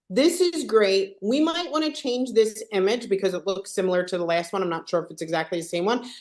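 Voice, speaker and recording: A woman with a Philadelphia accent, medium pitch, lively intonation, fairly quick pace and hardly any pauses. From Philadelphia, US. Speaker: software trainer. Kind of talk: live tutorial webinar.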